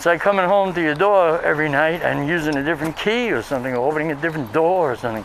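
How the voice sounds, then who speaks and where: Very fast, with hardly any pauses, in a New York accent, ordinary pitch variation, and noticeable background noise. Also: man, fairly high pitch for a man. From Brooklyn, New York City. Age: 60s. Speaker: professor and vlogger. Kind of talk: casual walking vlog monologue. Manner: hesitant with fillers.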